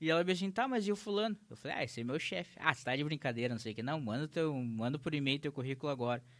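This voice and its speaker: Talking at a very fast pace with hardly any pauses, this man has a southern Brazilian accent, a fairly high pitch and lively intonation. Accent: southern Brazilian (gaúcho) Portuguese. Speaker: entrepreneur, legal marketing business owner. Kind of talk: interview conversation. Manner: casual, animated storytelling.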